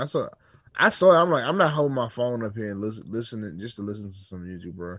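A man at medium pitch speaks at a very fast pace with lively intonation. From US, DC area. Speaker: podcast co-host. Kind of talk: casual chat.

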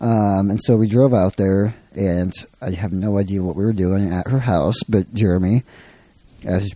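Dark and mellow, the voice proceeds at a middling speed, its pitch moving as usual. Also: man. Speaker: podcast guest. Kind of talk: casual chat.

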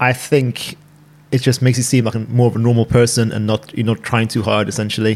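Here a man speaks with a British accent. His medium-pitched voice has fairly even intonation. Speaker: doctor. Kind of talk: casual chat. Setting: at home.

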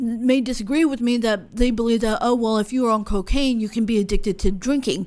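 In a very clean recording with a silent background, a woman with a fairly high pitch uses a normal speaking voice and ordinary pitch variation. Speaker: podcast host. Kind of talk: casual interview. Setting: studio.

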